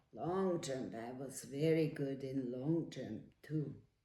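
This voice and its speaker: Audible room echo surrounds a woman whose very deep, low voice has a dark, mellow tone, with fairly even intonation and a very slow pace. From Switzerland. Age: 90s. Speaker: elderly woman telling her life story. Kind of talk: life story interview. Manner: halting.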